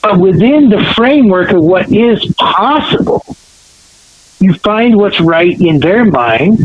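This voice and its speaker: A man's voice with noticeable background noise. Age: 60s. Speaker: education speaker and panelist. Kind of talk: podcast interview.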